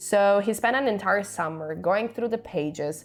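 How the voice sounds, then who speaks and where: A woman speaks with an Italian accent. Her pace is moderate and her intonation lively. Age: 20s. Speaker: author and vlogger. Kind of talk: personal storytelling vlog.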